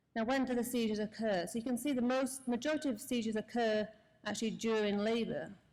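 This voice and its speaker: Very fast speech from a woman with a British accent, fairly high in pitch, intonation fairly even. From UK. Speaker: anesthesiologist. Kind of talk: conference lecture.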